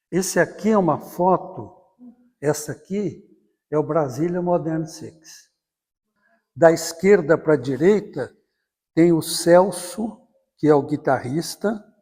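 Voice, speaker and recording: This man has a dark, mellow tone, a high pitch and ordinary pitch variation. He speaks at a very slow pace with long, frequent pauses. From Brazil, southern Minas Gerais. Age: 80s+. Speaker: journalist and writer. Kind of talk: oral history interview. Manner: halting, with repetitions.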